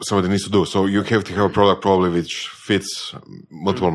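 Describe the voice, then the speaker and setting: A man with a Croatian accent, a very deep, low pitch and a fairly quick pace. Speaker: podcast host. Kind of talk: podcast interview.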